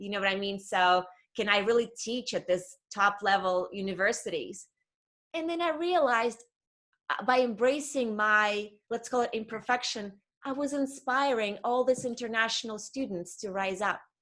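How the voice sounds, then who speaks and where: The speaker has a slight non-native accent. The intonation is lively. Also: woman. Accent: slight foreign. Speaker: career coach. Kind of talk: interview conversation.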